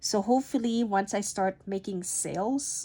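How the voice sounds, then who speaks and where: In a dark, mellow tone, a woman talks at a fairly slow pace with ordinary pitch variation. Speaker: budgeting YouTuber. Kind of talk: casual tutorial vlog. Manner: halting.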